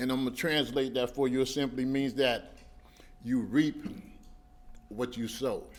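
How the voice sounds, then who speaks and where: A man speaks at a fairly slow pace. His medium-pitched voice keeps fairly even intonation. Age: 50s. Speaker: former inmate in recovery. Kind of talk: testimony. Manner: conversational.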